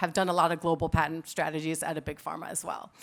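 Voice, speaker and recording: A woman's bright, sharp tone at a very fast pace, on a very clean recording with a silent background. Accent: American. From United States. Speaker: patent attorney. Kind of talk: conference talk. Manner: casual, conversational.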